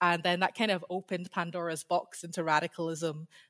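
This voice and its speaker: Someone speaks with a Scottish accent. The sound is dry and close, with no echo. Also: woman. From Scotland. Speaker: PhD researcher in history. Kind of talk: interview.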